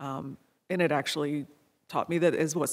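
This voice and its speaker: The talking is at a fairly quick pace in a very clean recording with a silent background. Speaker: lawyer. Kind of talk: panel discussion. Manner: quiet.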